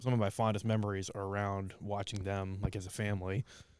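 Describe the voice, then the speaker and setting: A man speaks at a fairly quick pace and a fairly low pitch, with an American accent. His intonation is monotone and flat, and the recording is very clean with a silent background. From Ohio, US. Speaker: podcast host and comedian. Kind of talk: casual chat.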